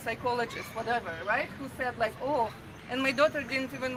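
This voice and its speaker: This woman's voice has a high pitch. Crowd noise can be heard in the background. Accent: Russian. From Russia. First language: Russian. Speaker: protester. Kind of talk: public speech. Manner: halting.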